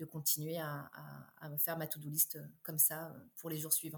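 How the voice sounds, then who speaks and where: A woman speaks in a very deep, low voice that is somewhat breathy, with a monotone, flat intonation. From Réunion. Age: 30s. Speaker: entrepreneur. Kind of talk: interview. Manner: hesitant, many fillers.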